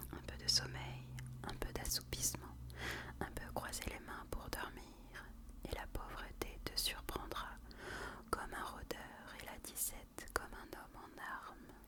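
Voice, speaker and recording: Whispering at a very slow pace, a woman leaves long, frequent pauses, her loudness swinging widely amid noticeable background noise. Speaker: ASMR content creator. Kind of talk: whispered Bible reading for relaxation. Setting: close to the microphone. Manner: whispered, soft, slow.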